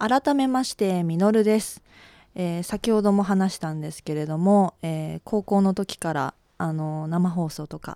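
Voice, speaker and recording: A woman with a dark, mellow, medium-pitched voice speaks fairly slowly with ordinary pitch variation and big swings in loudness, in a very clean, dry, close recording with no echo and a silent background. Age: 20s. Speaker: radio personality. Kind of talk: casual radio talk. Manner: shaky voice.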